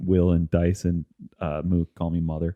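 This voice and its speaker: In a Midwestern accent, a man speaks with a very deep, low pitch and monotone, flat intonation. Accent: Midwest. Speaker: podcast host. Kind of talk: casual chat.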